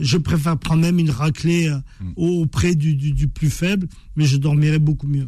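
Fairly high in pitch, a man talks at a moderate pace with fairly even intonation. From France. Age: 50s. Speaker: author and former boxer. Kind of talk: radio interview. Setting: radio studio. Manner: halting, frequent repetitions.

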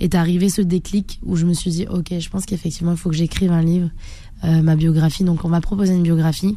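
Her voice is fairly low with a dark, mellow tone. The woman keeps her intonation fairly even. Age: 30s. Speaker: karate champion and bodybuilder. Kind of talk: radio interview.

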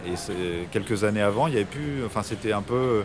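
A man with a medium pitch and ordinary pitch variation rushes along at a very fast pace as noticeable background noise continues. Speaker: rock band musician. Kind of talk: radio interview. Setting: café in Paris.

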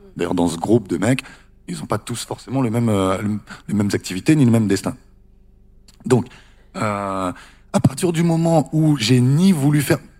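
A man at medium pitch talks with a dark, mellow tone and very wide pitch swings. He leaves long, frequent pauses. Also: moderate pace. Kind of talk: panel discussion.

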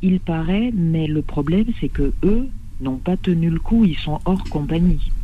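Speaking at a very slow pace, a woman uses a fairly low pitch with ordinary pitch variation. Audible room echo surrounds her voice. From French Caribbean. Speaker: flight attendant. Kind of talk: phone-in call.

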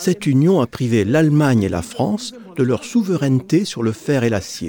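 A man talks at medium pitch and a moderate pace, his tone dark and mellow. His pitch swings very widely. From Germany, Aachen. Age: 80s+. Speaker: witness of war and European unification. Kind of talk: testimony.

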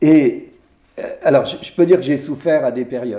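A man is speaking. His pace is moderate. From Brittany, France (Morbihan, near Vannes). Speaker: senator. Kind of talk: interview in front of an audience. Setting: public recording with audience. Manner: halting, many repetitions and hesitations.

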